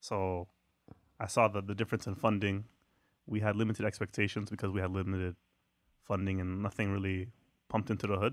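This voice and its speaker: A man talks at a very fast pace with long, frequent pauses, fairly low in pitch and monotone, flat in intonation, on a very clean recording with a silent background. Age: 20s. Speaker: podcast co-host. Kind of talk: casual chat.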